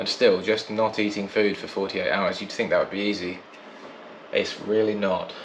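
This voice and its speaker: With a British accent, a man speaks at a moderate pace amid audible room echo and noticeable background noise. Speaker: podcast co-host. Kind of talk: casual video diary chat.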